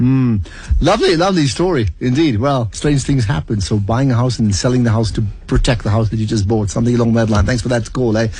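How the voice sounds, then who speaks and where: A man speaks at a very fast pace in a dark, mellow tone. His voice is somewhat breathy, and his loudness stays very even. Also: medium pitch for a man, ordinary pitch variation. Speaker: radio presenter. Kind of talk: radio interview host.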